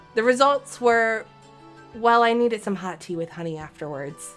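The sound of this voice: A woman talks fairly quickly in a fairly high voice with very wide pitch swings as music plays in the background.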